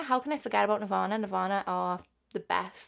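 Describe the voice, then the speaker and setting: In a strong Liverpool accent, a woman talks at a fairly quick pace in a very clean recording with a silent background. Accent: strong Scouse. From Liverpool, England. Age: 20s. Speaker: podcast host. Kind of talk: casual monologue.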